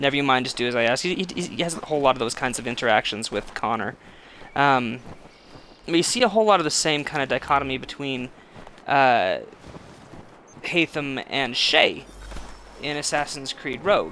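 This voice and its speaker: Quiet and fairly high-pitched, a man talks at a fairly quick pace with ordinary pitch variation and long, frequent pauses. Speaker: gaming streamer. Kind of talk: live gameplay commentary. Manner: halting.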